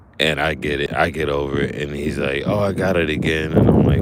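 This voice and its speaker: A man with a very deep, low voice at a fairly quick pace, over noticeable background noise. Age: 40s. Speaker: fishing streamer. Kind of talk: casual live stream chat. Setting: outdoors fishing. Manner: casual, halting with fillers.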